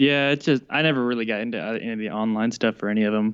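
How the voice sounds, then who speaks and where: Against a quiet background, a man with a normal speaking voice talks at a fairly quick pace, with medium pitch and fairly even intonation. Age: 20s. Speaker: podcast co-host. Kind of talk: casual chat.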